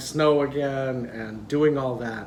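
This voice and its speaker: In a room with audible echo and noticeable background noise, a man speaks in a fairly high pitch with ordinary pitch variation. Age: 60s. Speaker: vlogger. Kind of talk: casual vlog talk. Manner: conversational, hesitant fillers.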